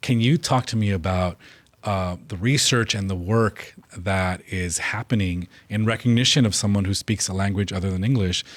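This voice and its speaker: The speaker has a Spanish accent and a moderate pace with ordinary pitch variation. The recording is very clean, with a silent background. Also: man. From California. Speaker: state legislator hosting a policy interview. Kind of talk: interview.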